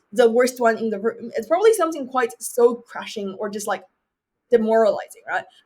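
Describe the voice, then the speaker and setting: A woman with a Chinese accent speaks at a high pitch. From China, Beijing. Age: 20s. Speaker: university student and debater. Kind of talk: interview.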